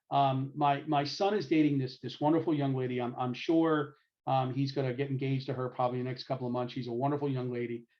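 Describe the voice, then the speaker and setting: Speaking at a very fast pace, a man talks with a New York accent. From New York City, Brooklyn. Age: 60s. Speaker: lecturer. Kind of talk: lecture.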